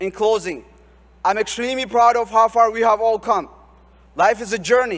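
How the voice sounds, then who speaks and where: Pausing long and often, a man speaks at a high pitch with fairly even intonation. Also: moderate pace. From Ethiopia, Oromia region. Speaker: graduating student speaker. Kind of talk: commencement speech. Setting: stage with audience. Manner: formal.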